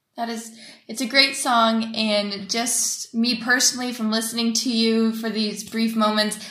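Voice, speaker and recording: Against noticeable background noise and audible room echo, a woman with an American accent speaks at a moderate pace and a fairly high pitch in a flat monotone. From United States. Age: 20s. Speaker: student interviewer. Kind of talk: interview. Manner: formal.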